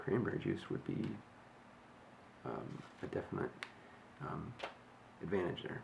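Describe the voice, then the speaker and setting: The man is soft-spoken. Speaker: fitness vlogger. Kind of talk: casual video diary. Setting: at home early morning. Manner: quiet, soft-spoken; halting, many fillers.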